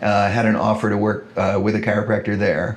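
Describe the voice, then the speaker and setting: Noticeable background noise runs through the clip. A man speaks at a fairly low pitch. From Kailua, Hawaii. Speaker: chiropractor. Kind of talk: interview answer. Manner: casual, conversational.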